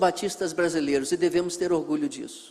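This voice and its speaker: A man's voice, high in pitch. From Brazil, northwest Rio de Janeiro state (Miracema). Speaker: missionary pastor, guest preacher. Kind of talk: sermon introduction to a congregation. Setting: church.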